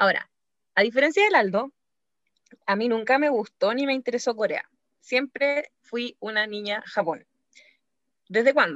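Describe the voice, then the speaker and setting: Speaking in a Chilean accent, a woman with a high pitch and lively intonation goes at a fairly slow pace, the sound dry and close with no echo. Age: 20s. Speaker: podcast co-host. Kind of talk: casual chat.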